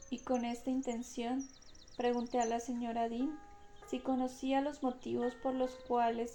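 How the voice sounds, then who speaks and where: Against music in the background, a woman speaks very slowly in a high pitch with a calm tone and monotone, flat intonation. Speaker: audiobook narrator. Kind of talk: audiobook reading of a classic novel. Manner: slow, calm.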